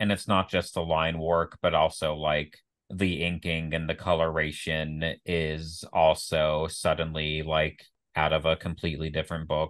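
A man's very deep, low voice, monotone and flat, at a fairly slow pace and very even loudness against a quiet background. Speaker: comics podcast co-host. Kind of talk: casual podcast discussion.

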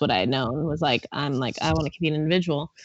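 A woman uses a normal speaking voice at a fairly quick pace with ordinary pitch variation. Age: 20s. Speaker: CrossFit athlete and coach. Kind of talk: casual chat.

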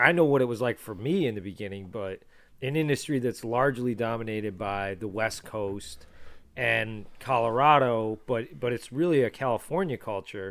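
Here is a man with an ordinary speaking voice, at medium pitch and with ordinary pitch variation. He talks at a moderate pace on a very clean recording with a silent background. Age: 30s. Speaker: podcast host. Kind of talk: casual chat.

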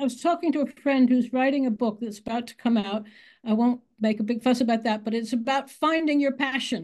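Against a quiet background, a woman talks at a very fast pace with an American accent. Her pitch is high. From United States. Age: 80s+. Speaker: author. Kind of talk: interview.

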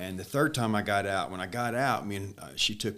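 A man talks at a fairly quick pace with lively intonation, a fairly low pitch, and a bright, sharp tone. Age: 50s. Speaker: former prisoner in ministry. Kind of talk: testimony.

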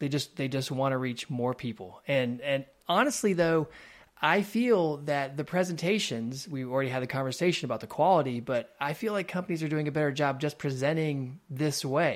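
A man's fairly high voice, an unremarkable speaking voice, at a moderate pace with ordinary pitch variation, on a very clean recording with a silent background. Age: 40s. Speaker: video producer. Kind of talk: casual chat. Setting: call.

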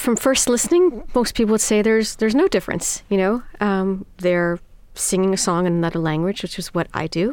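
A woman with an American accent speaks at a fairly quick pace in a normal speaking voice. Her pitch is medium, with ordinary pitch variation. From New York City. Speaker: singer of Iranian folk songs. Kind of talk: interview.

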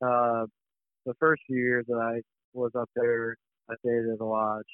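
With an American accent, a man speaks fairly quickly in a flat, monotone intonation. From US Midwest, Missouri. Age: 30s. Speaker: waterfowl hunting outfitter. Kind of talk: casual interview.

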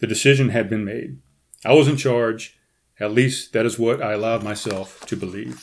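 The text is read in a natural reading voice. The background is quiet.

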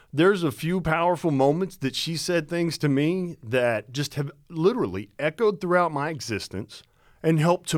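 In a very clean recording with a silent background, a man talks at a moderate pace in a normal speaking voice, fairly high pitched with lively intonation. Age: 40s. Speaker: podcast co-host. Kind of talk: casual chat.

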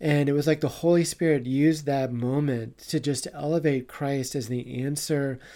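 On a very clean recording with a silent background, a man speaks at a moderate pace. His dark, mellow tone sits at a fairly high pitch with fairly even intonation. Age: 50s. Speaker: card game player and father. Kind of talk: casual interview.

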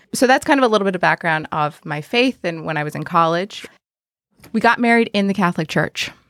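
A woman with an American accent and an unremarkable speaking voice talks at a fairly quick pace, the sound dry and close with no echo. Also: medium pitch for a woman, lively intonation. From South Texas, McAllen (Mexican border). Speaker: parish digital ministries coordinator. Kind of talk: interview testimony.

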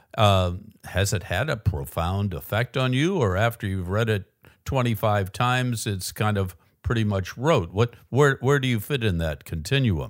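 With an ordinary speaking voice, a man at fairly low pitch talks at a moderate pace with lively intonation. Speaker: podcast host. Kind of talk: interview. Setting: remote call from New York.

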